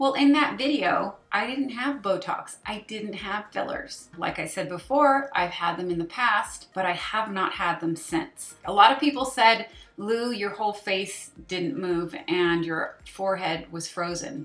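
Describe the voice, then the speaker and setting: A woman's medium-pitched voice with lively intonation and hardly any pauses, music in the background. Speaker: beauty vlogger. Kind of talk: casual vlog talk to camera.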